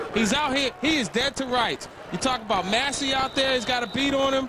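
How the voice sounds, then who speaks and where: A man talks in a raised, projected voice at an extremely high pitch, with an animated tone and a fairly quick pace. Noticeable background noise is present. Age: 30s. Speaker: color commentator. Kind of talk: live commentary.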